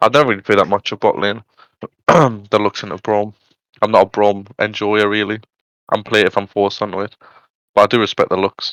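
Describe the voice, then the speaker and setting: With a Geordie accent, a man speaks at a fairly quick pace in a fairly low pitch, his intonation fairly even and broken by long, frequent pauses. The sound is dry and close with no echo against a quiet background. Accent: northeast England (Geordie). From northern England, Newcastle. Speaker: esports caster. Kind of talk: live game commentary. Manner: casual, chatty.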